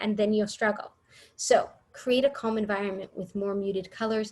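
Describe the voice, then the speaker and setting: A woman talks in a somewhat breathy voice at a medium pitch. Her intonation stays fairly even. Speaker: early childhood education trainer. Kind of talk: workshop presentation.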